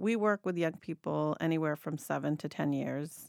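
A woman with a very deep, low voice speaks at a moderate pace, the sound dry and close with no echo. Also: very clean recording, silent background. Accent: American. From Mexico and Argentina, then US. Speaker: nonprofit director. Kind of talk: interview. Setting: studio.

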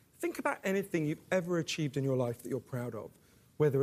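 This man, with a British accent, has a fairly high voice and ordinary pitch variation. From England. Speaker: author. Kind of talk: panel discussion.

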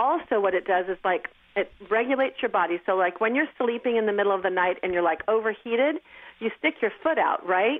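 A plain, everyday voice: a woman at a fairly high pitch, with lively intonation, very even loudness and a fairly quick pace. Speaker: medical device company co-founder. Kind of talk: interview.

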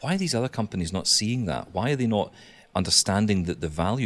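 Speaking at a very fast pace, a man talks with a Scottish accent. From Scotland, small town. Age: 30s. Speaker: blind tech podcaster. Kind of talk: casual chat. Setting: remote call.

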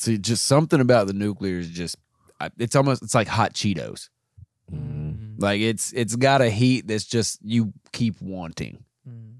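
A man with a plain, everyday voice and a fairly low pitch talks at a moderate pace, with ordinary pitch variation and big swings in loudness. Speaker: podcast co-host. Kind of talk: casual comedy chat.

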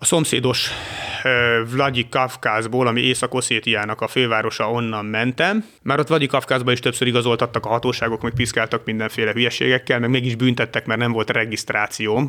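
In a very clean recording with a silent background, a man with a medium pitch and a bright, sharp tone talks at a fairly quick pace, his loudness very even and his intonation flat and monotone. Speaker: traveller to conflict zones. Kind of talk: casual chat. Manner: halting.

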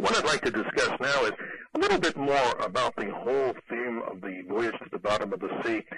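An American accent at a fairly quick pace, with noticeable background noise. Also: man. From New York City. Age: 50s. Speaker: radio host. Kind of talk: radio interview.

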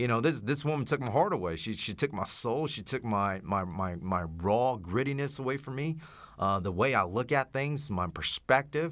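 The voice, with an American accent and lively intonation, moves at a moderate pace on a very clean recording with a silent background. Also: man. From Texas, Oak Cliff in Dallas. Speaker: veteran podcast host. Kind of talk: casual chat. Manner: halting.

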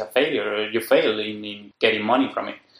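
With a Spanish accent, a man speaks at a fairly quick pace. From Spain, Madrid. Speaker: software developer. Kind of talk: casual chat. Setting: in person, face to face. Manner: halting.

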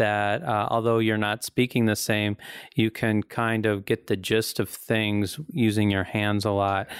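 In a very clean recording with a silent background and a dry, close sound with no echo, a man with an unremarkable speaking voice talks at a fairly slow pace in a fairly low pitch, with fairly even intonation and very even loudness. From Ozarks, US. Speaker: artist and gallery owner. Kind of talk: casual chat. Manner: laughs often.

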